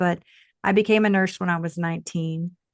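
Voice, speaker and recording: A fairly low-pitched woman's voice with a slight Texas accent against a quiet background. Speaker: tantra coach, former nurse. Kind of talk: podcast interview.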